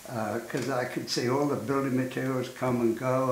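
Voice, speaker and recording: A man's monotone, flat delivery amid noticeable background noise and audible room echo. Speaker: architect. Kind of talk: interview reminiscence. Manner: halting.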